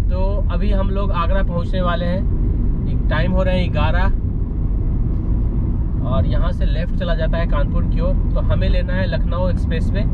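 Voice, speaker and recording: A man speaking with long, frequent pauses over loud background noise. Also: moderate pace. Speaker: vlogger. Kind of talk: casual vlog chat. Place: car. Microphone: camera far.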